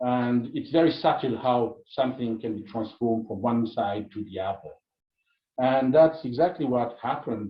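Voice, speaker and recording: Somewhat breathy, a man speaks at a medium pitch and moderate pace, with ordinary pitch variation and big swings in loudness. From Italy. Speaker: anthropologist. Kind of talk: lecture. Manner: halting.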